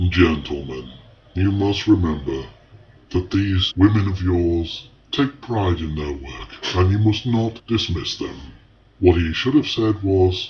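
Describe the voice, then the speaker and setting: A put-on character voice delivers lively intonation at a fairly slow pace. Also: man, very deep, low pitch for a man. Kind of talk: 1970s advert voiceover. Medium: comedy sketch. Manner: formal, pitchman.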